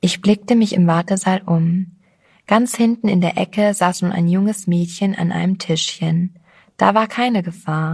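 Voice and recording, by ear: The pitch varies in an ordinary way during this reading aloud in a natural voice.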